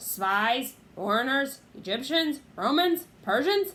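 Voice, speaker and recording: Putting on a character voice, a woman speaks high at a fairly slow pace with very wide pitch swings. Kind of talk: old-fashioned medieval speech. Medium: read story. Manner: gruff, jeering.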